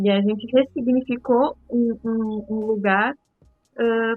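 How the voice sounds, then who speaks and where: With music in the background, a woman speaks at a fairly high pitch and fairly even intonation. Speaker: podcast co-host. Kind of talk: podcast discussion. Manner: speaking softly, child asleep.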